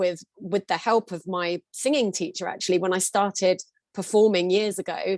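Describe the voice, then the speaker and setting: The sound is dry and close, with no echo. A woman with a normal speaking voice talks at a moderate pace and a medium pitch. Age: 40s. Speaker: singer and singing teacher. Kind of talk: therapy session.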